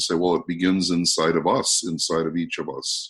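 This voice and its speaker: A man's very deep, low voice at a moderate pace. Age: 60s. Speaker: motivational speaker, anti-bullying trainer. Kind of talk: interview conversation.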